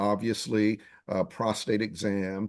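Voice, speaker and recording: The background is quiet. A man speaks at a medium pitch. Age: 60s. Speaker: TV news anchor hosting a health talk. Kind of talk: panel discussion. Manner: halting, many fillers.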